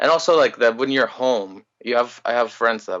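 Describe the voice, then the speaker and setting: A man with a slight Greek accent, a medium pitch, and a moderate pace. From Greece. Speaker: musician. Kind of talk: casual chat.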